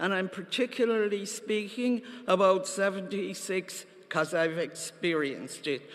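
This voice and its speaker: In a Cork accent, the speaker goes at a fairly slow pace. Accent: Cork Irish. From Ireland, Cork. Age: 70s. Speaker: party member delegate. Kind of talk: conference speech.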